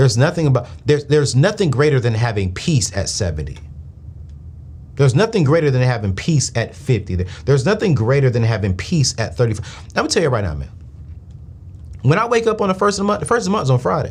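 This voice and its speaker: Talking at a very fast pace, a man uses an animated tone, vocal fry and very wide pitch swings. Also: medium pitch for a man. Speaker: finance show host. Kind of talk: live call-in show.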